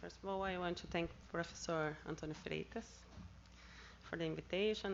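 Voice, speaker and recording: A woman speaks at a moderate pace with a Brazilian Portuguese accent. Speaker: seminar speaker on anti-corruption work. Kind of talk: conference talk. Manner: halting.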